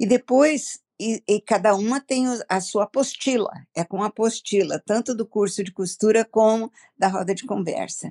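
Recorded dry and close with no echo, a woman speaks with a fairly high pitch and a dark, mellow tone. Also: ordinary pitch variation, moderate pace. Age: 70s. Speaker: ministry director. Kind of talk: interview.

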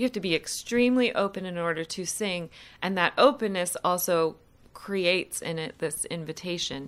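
In an American accent, a woman speaks at a moderate pace with ordinary pitch variation in a normal speaking voice. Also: medium pitch for a woman. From US Midwest, Columbus, Ohio. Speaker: opera singer. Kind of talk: interview.

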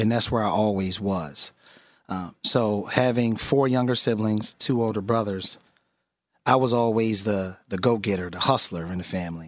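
A man's fairly low voice, ordinary pitch variation and moderate pace, on a very clean recording with a silent background. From West Philadelphia. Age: 30s. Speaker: state legislator and mayoral candidate. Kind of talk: radio interview.

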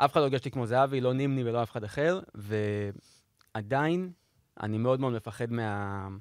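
The recording is very clean, with a silent background. A man at medium pitch speaks at a moderate pace with ordinary pitch variation and long, frequent pauses. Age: 30s. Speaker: video editor and sports podcast panelist. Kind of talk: casual chat.

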